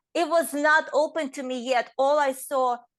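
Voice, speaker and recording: A woman with a non-native accent against a quiet background. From Estonia. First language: not English. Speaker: inspirational speaker. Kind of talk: interview answer.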